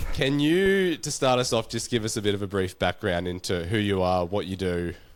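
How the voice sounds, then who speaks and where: On a very clean recording with a silent background, a man talks at a fairly quick pace with an Australian accent and ordinary pitch variation. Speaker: podcast host. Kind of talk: casual chat.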